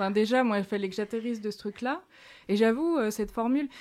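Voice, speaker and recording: A woman with a normal speaking voice at a moderate pace, ordinary pitch variation, on a very clean recording with a silent background. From France, small village. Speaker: author and feminist activist. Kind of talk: interview.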